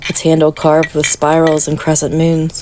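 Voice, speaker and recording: Against noticeable background noise, a woman speaks at a moderate pace in a very deep, low pitch. Her intonation is monotone and flat. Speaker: meditation guide. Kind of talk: guided meditation sleep story. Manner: soft-spoken, soothing.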